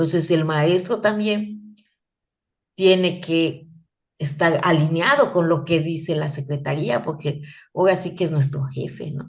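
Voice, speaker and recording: A woman speaks at a fairly slow pace with a very deep, low pitch and vocal fry. There is audible room echo. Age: 60s. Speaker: teacher. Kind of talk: lecture. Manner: animated; halting.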